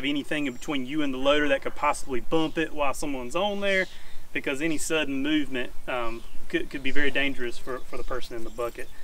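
A man speaks very fast with ordinary pitch variation, the sound dry with no echo and some light background noise. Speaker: farm vlogger explaining safety. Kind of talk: tutorial. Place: farm.

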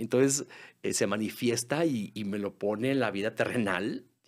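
A man speaks at a fairly slow pace with a medium pitch. Pitch varies in an ordinary way, and the background is quiet. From Mexico. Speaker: musical theatre singer and actor; actor. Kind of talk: casual interview. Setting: studio. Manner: halting, repeats words. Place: studio. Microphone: studio mic.

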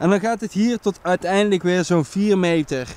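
A man talks at a moderate pace, and the sound is dry with no echo. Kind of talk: casual vlog chat. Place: waterside. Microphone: phone near.

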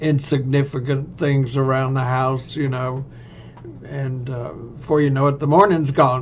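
Over light background noise, a man with a Texan accent talks at a fairly slow pace in a monotone, flat intonation. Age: old. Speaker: vlogger. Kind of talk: casual monologue. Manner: halting. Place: home room. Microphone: webcam.

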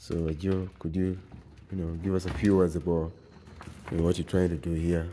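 The man's voice is very deep and low, with flat, monotone intonation. He keeps a moderate pace broken by long, frequent pauses. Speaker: video blogger narrating behind-the-scenes footage. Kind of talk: casual on-location narration. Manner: casual, with frequent fillers.

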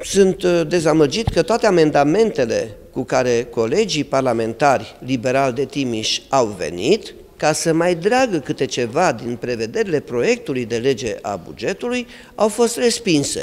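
With very wide pitch swings, a man speaks at a fairly slow pace. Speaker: city mayor. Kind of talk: interview statement. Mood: displeased, critical. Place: office.

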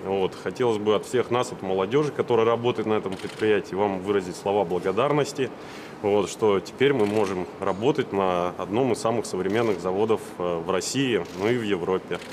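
A fairly low-pitched male voice with ordinary pitch variation at a moderate pace, amid noticeable background noise. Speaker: factory engineer. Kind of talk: formal question at meeting. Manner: halting.

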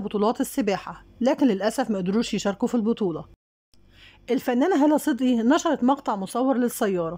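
A woman speaks with an Egyptian accent at a fairly quick pace. Her voice is fairly high in pitch, with a dark, mellow tone and lively intonation. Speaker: celebrity news YouTuber. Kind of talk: scripted narration.

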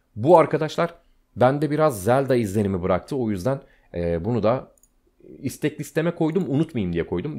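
A man with a dark, mellow tone speaks at a moderate pace, his pitch swinging very widely against a quiet background. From Turkey. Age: 30s. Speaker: gaming YouTuber. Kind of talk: casual screen-share commentary. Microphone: studio mic.

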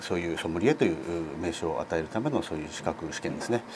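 Over noticeable background noise, a man with a very deep, low pitch makes very wide pitch swings. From Hokkaido, Sapporo. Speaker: sommelier and hotel staff. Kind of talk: interview answer. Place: studio. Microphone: lapel.

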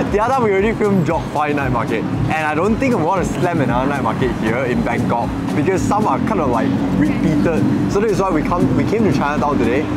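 Very fast speech over loud background noise. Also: man. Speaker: food vlogger host. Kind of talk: casual vlog chat. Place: street.

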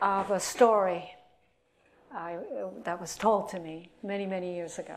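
A woman with a Japanese accent speaks at a fairly slow pace. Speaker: atomic bomb survivor and hospital employee. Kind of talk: lecture. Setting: stage with audience. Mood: earnest, reflective. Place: classroom.

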